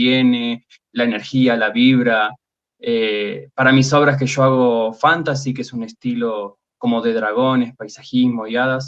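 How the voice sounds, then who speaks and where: With an Argentine accent, a man talks at a fairly slow pace. His pitch is medium and his intonation fairly even. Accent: Rioplatense Argentine Spanish. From Argentina, Buenos Aires. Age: 30s. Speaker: fantasy artist. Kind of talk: interview.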